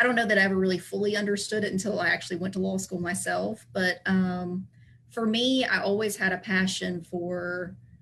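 With a Southern US accent, a woman talks at a fairly quick pace and medium pitch. Her intonation is fairly even over noticeable background noise. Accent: Southern American. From US South, Tennessee (Chattanooga area). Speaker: estate planning attorney. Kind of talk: interview, explanatory.

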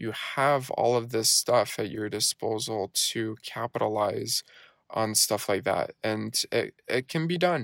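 At a fairly slow pace, a man is heard in a dry, close sound with no echo on a very clean recording with a silent background. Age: 20s. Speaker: podcast host and network marketer. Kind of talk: solo casual monologue. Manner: many fillers (uh, um, you know).

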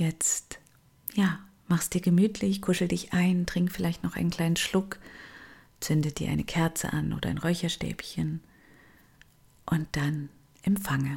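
A woman's fairly low voice with vocal fry, fairly even intonation, a fairly slow pace and long, frequent pauses, on a very clean recording with a silent background. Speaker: meditation guide and coach. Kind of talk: guided meditation. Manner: slow, soft, calming, with long pauses; gentle, soothing, intimate.

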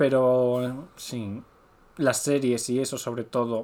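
A man's medium-pitched voice in a flat monotone. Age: 30s. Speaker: podcast co-host. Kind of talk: casual chat.

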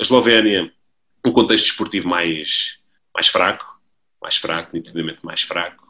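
This man has a very deep, low pitch and a bright, sharp tone, speaking at a moderate pace. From Portugal, Lisbon. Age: 30s. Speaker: football coach. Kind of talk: interview. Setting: video call. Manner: halting, many repetitions.

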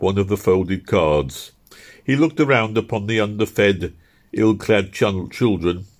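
Pitch shifts in an ordinary way. The reading voice is unforced.

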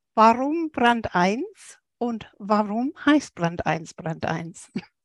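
A woman's fairly high pitch with very wide pitch swings, in a dry, close sound with no echo. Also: long, frequent pauses. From England. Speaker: podcast co-host. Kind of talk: interview conversation.

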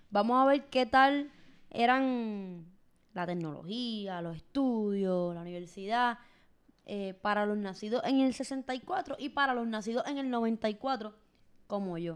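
Her pace is very slow. The woman's fairly high voice carries lively intonation. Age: 20s. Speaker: podcast host. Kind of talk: casual chat.

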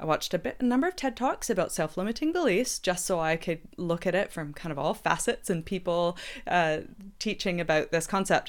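The recording is very clean with a silent background. A woman speaks fairly quickly at medium pitch with lively intonation. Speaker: podcast host. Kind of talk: casual chat. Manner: animated.

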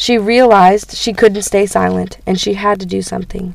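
Music plays in the background while a woman speaks at a fairly quick pace. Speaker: student giving a church talk. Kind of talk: sermon. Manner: halting, many fillers.

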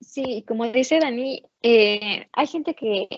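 Her voice is high in pitch. The sound is dry and close, with no echo. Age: 20s. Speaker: economics student. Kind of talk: casual discussion.

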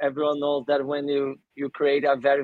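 A man's fairly high-pitched voice with a Portuguese accent. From Brazil, São Paulo. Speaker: sports event organizer. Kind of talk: podcast interview.

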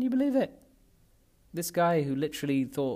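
A man's fairly quick, lively speech in a London accent, on a very clean recording with a silent background. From North London, England (Pakistani family). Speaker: podcast host. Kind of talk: personal monologue. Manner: halting, many fillers.

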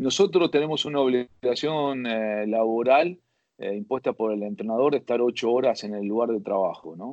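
A man with an unremarkable speaking voice talks at a moderate pace, medium in pitch with lively intonation. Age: 50s. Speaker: football fitness coach. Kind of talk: interview.

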